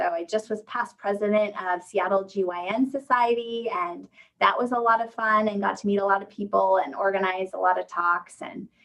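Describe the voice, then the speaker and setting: A woman speaks at a fairly quick pace with hardly any pauses, her medium pitch moving with ordinary variation. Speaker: physician, OB/GYN. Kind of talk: virtual presentation and Q&A. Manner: fast.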